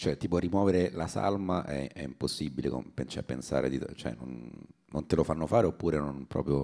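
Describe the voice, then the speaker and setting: At a moderate pace, the voice carries a dark, mellow tone with vocal fry. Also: man, very deep, low pitch for a man, ordinary pitch variation. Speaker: comedian co-host. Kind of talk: casual chat.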